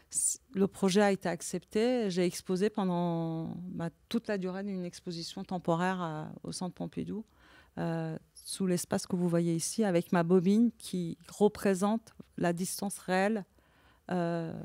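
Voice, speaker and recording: A woman speaks at a medium pitch and a fairly slow pace, her tone dark and mellow. Her intonation stays fairly even, and the sound is dry and close with no echo. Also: very clean recording, silent background. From Iran. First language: Persian (speaking French). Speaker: visual artist. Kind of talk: conversation at an exhibition talk. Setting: gallery talk with audience. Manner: halting, many repetitions.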